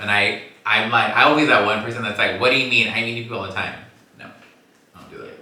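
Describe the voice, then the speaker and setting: Speech with a Southern California accent comes at a very fast pace with long, frequent pauses and big swings in loudness, amid noticeable background noise and audible room echo. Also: man, medium pitch for a man. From Los Angeles. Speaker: podcast host. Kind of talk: casual chat. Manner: animated.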